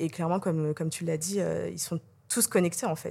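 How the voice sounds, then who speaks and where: The recording is very clean, with a silent background. A woman talks at a medium pitch, her intonation fairly even. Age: 30s. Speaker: social media and influencer relations manager. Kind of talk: interview. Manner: hesitant, many fillers.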